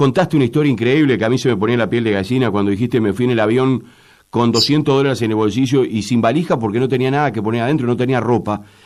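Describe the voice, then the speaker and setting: Someone with a Uruguayan accent speaks very fast with lively intonation in a very clean recording with a silent background. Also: man. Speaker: radio host. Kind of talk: interview.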